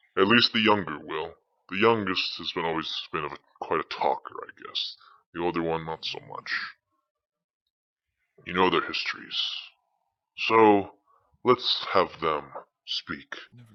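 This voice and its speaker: Putting on a character voice, a man speaks at a fairly low pitch and a moderate pace. Long pauses come often. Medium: machinima. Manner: theatrical, rambling, wry asides.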